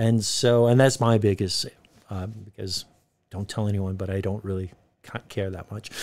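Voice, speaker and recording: A man with an American accent speaks at a moderate pace in a plain, everyday voice, his pitch fairly low. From United States. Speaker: university lecturer. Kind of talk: podcast interview.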